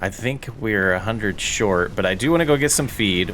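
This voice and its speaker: A man at a moderate pace with ordinary pitch variation, some audible room echo and noticeable background noise. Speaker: gaming YouTuber. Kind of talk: gameplay commentary. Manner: loud; laid-back.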